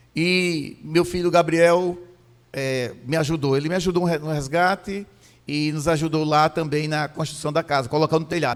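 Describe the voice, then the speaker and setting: An ordinary speaking voice from a man, fairly high in pitch, with fairly even intonation at a moderate pace. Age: 60s. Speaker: pastor. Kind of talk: sermon. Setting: church.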